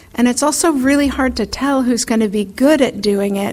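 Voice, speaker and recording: Soft-spoken and fairly even in intonation, a woman talks with an American accent. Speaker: foreign policy expert. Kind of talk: lecture. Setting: stage with audience. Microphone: too quiet at first, turned up.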